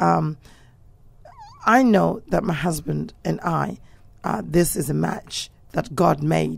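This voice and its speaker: A woman's speech comes through noticeable background noise. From England. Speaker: pastor. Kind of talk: talk show discussion.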